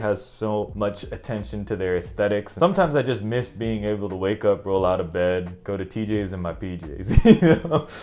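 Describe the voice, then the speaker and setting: Lively intonation from a fairly low-voiced man with an American accent, amid noticeable background noise. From San Francisco Bay Area, California, USA. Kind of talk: casual talk to camera.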